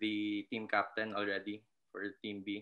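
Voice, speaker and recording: At a very slow pace, a man talks, and the background is quiet. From Philippines (Visayas). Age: 20s. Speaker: basketball coach. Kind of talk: casual interview. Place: home room. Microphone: webcam.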